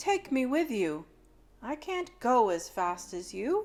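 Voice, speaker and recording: A woman puts on a character voice, pitched high, with very wide pitch swings and a fairly slow pace. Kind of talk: bedtime story. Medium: read story.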